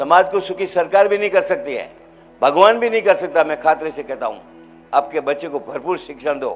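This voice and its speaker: A man's high voice at a moderate pace, with lively intonation and music in the background. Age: 80s+. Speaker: hospital founder and devotee speaking at religious event. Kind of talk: public speech at religious event.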